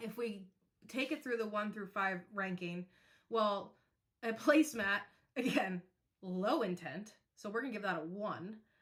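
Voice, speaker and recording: Speaking at a fairly slow pace with long, frequent pauses, a woman has a fairly high pitch, an animated tone, ordinary pitch variation and a somewhat breathy voice. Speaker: podcast host. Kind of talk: presentation.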